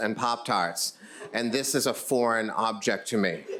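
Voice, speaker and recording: Here a man talks at a moderate pace. His pitch is medium, with ordinary variation. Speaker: storyteller. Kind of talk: live storytelling performance. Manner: humorous.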